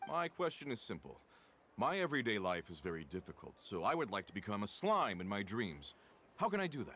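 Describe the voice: Putting on a character voice, a man speaks at a fairly quick pace in a fairly low pitch with a bright, sharp tone and big pitch swings.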